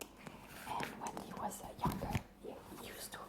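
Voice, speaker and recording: A woman whispering with a French accent. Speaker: librarian. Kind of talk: ASMR roleplay. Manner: whispered.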